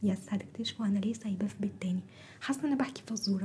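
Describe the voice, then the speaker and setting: There is noticeable background noise as a woman speaks with a fairly high pitch and ordinary pitch variation. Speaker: ASMR and storytelling YouTuber. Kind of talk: casual vlog talk to viewers. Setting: at home, recording at dawn. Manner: trying to speak softer; animated.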